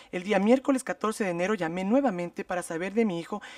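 A man talks at a very fast pace. The sound is dry with no echo, over a quiet background. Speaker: state legal representative. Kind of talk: formal legal argument. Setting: public hearing. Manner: formal. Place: meeting room. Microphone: podium.

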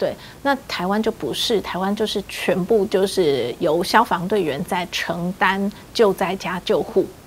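With light background noise behind her, a woman speaks at a fairly slow pace and ordinary pitch variation. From Taiwan. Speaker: HIV rights advocacy group leader; interviewee. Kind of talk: interview. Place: home room.

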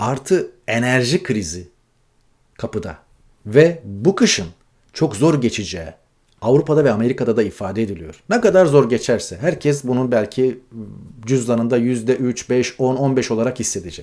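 A man speaks at a medium pitch and a moderate pace. His intonation is lively. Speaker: news commentator. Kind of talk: news commentary monologue. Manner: conversational, frequent filler hesitations.

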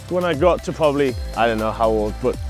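Speaking very fast in a Geordie accent, a man sounds dry with no echo, while faint music plays in the background. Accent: Geordie (Newcastle English). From Newcastle, England. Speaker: professional enduro motorcycle racer. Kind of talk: casual talk to camera while touring hometown. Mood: cheerful, nostalgic. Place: garden.

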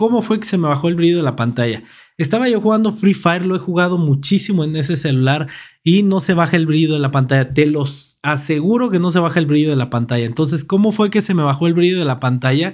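A man with a Mexican accent, fairly high pitch, lively intonation and a very fast pace, against a quiet background. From Mexico. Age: 30s. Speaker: tech YouTuber. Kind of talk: product review. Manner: casual. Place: home room. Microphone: studio mic.

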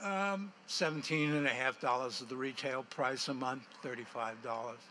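At a moderate pace, a man speaks at a medium pitch with a bright, sharp tone and ordinary pitch variation.

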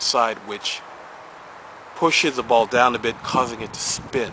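Noticeable background noise behind a man. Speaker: paintball gear reviewer. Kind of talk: casual product review chat. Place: garden.

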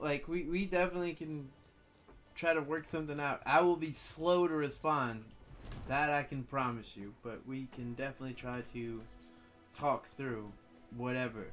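Faint music plays in the background as a man with an American accent speaks at a fairly high pitch and a moderate pace, with ordinary pitch variation and long, frequent pauses. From Louisiana. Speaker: streamer. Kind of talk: casual stream chat. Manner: relaxed.

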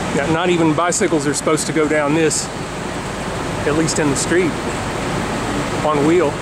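The speaker talks at a moderate pace. Loud background noise fills the recording. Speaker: cyclist narrator. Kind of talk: casual commentary. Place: street.

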